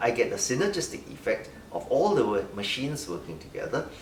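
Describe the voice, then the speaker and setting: A man's speech carries audible room echo, with noticeable background noise around it. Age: 60s. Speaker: doctor. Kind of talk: interview.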